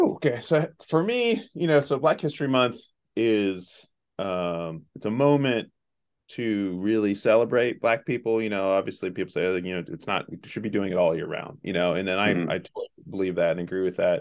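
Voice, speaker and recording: Against a quiet background, a man talks at a moderate pace. His fairly low voice has lively intonation. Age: 40s. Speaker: outreach coordinator at a survivor advocacy program. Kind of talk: casual interview conversation. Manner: halting, many fillers.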